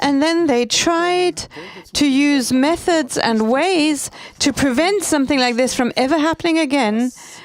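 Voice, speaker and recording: A woman talks with a high pitch and lively intonation. Her pace is fairly slow. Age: 70s. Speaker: speaker. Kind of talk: speech.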